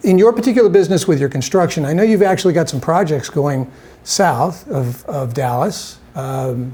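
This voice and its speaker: A man talks at a moderate pace with a fairly high pitch. His intonation is lively, and there is noticeable background noise. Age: old. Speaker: TV talk show host. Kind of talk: interview.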